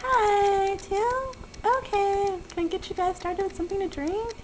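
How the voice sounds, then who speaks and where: Someone performs a put-on character voice at an extremely high pitch. Background noise is clearly audible. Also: moderate pace. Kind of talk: raised, high-pitched. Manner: cheerful customer service.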